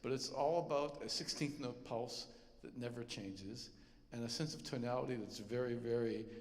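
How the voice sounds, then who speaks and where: A man with a medium-pitched voice talks at a moderate pace, with audible echo from the room. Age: 60s. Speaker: composer. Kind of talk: concert stage talk. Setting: concert stage with audience. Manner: halting, many fillers.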